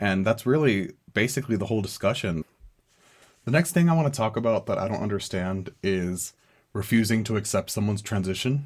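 A plain, everyday voice at a fairly quick pace with lively intonation. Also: man, fairly low pitch for a man. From US, small town, Mexican-American family. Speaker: student podcast host. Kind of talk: solo commentary podcast.

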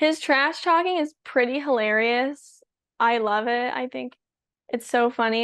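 With a Californian accent, a woman speaks at a fairly slow pace. Her intonation stays fairly even. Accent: General American, Californian. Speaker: pro pickleball player and college student. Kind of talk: casual chat.

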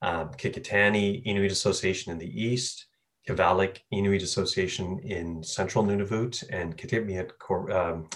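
Very deep and low in pitch, with ordinary variation, a man talks at a moderate pace. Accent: Labrador. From Labrador, Canada. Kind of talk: interview.

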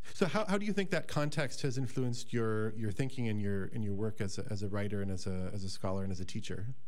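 Speaking very fast with hardly any pauses, a man with an American accent has a fairly low pitch and ordinary pitch variation against noticeable background noise. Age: 40s. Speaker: podcast host, college director. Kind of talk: casual interview. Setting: radio studio.

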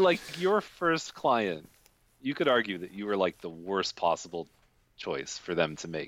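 A man with a Canadian accent has a normal speaking voice and a fairly low pitch. He talks at a moderate pace with lively intonation. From Canada, Toronto. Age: 40s. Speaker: real estate agent. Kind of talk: casual interview. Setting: video call.

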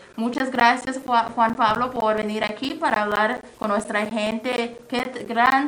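A woman speaks at a very slow pace with a fairly high pitch. Noticeable background noise and audible room echo fill the recording. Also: hardly any pauses. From Mexico. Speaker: community radio host. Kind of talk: radio interview.

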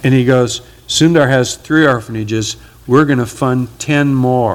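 At a moderate pace, the intonation stays fairly even. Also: man. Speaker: pastor. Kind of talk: sermon. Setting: church with congregation. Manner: loud.

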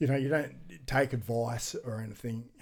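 With an Australian accent, a man speaks at a fairly quick pace in a dark, mellow tone with fairly even intonation. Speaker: adventure athlete and author. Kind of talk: casual interview chat.

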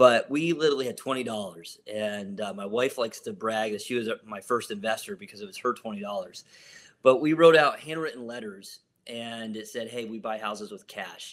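A man's ordinary speaking voice with an American accent, medium pitch, ordinary pitch variation and a fairly quick pace. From Ohio, US. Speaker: real estate investor and pastor. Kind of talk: interview.

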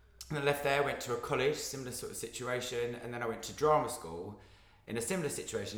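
A man with an Essex accent talks at a fairly quick pace, with audible room echo and noticeable background noise. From Essex, England. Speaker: actor. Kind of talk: casual chat.

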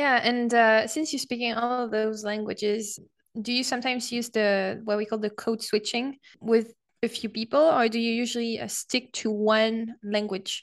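An unremarkable speaking voice from a woman, fairly high in pitch, at a moderate pace with fairly even intonation over a quiet background. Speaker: podcast co-host. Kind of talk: casual interview chat. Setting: video call.

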